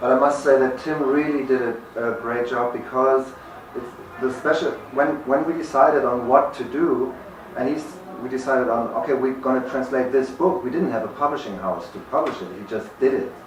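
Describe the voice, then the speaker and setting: Someone speaks fairly quickly in a German accent with fairly even intonation. Audible room echo and noticeable background noise are present. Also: man, medium pitch for a man. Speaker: author. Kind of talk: book event Q&A. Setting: bookstore event with audience. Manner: halting.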